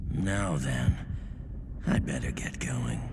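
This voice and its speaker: A cartoonish character voice. Loud noise fills the background. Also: man. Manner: laid-back, amused.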